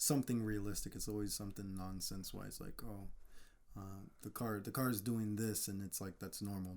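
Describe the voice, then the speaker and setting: A quiet man talks at a fairly quick pace. His pitch is fairly low and his intonation monotone and flat. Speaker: car mechanic. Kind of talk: casual chat.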